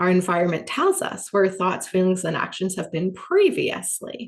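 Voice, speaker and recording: A woman's medium-pitched voice with a slight American accent. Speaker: business coach. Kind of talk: workshop teaching. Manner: animated.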